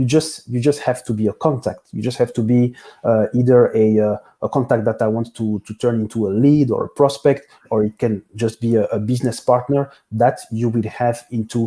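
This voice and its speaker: Speaking fairly quickly with a French accent, a man uses a dark, mellow tone and fairly even intonation. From Belgium, Brussels. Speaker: business software consultant. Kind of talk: interview. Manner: halting, many fillers.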